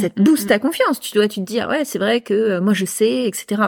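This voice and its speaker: A woman with an unremarkable speaking voice, fairly high in pitch with ordinary variation, talks at a fairly quick pace in a very clean recording with a silent background. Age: 30s. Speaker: entrepreneur. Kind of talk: casual chat. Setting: host's home.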